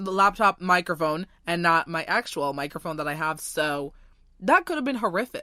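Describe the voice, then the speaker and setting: Loud and at a moderate pace, a woman with a fairly low pitch and a bright, sharp tone shows ordinary pitch variation on a very clean recording with a silent background and a dry, close sound with no echo. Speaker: podcast host. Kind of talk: casual chat.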